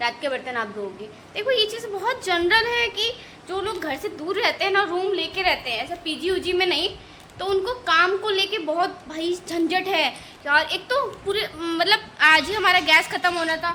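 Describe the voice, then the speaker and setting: A woman's animated, raised and projected voice at an extremely high pitch, full of lively intonation. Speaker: vlogger. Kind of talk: casual vlog chat.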